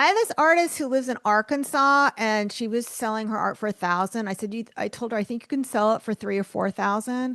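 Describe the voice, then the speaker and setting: With a New York accent, a woman talks at a fairly quick pace with hardly any pauses, her bright, sharp tone set at a fairly high pitch with ordinary pitch variation. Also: dry, close sound with no echo. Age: 50s. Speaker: author and art business coach. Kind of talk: podcast interview.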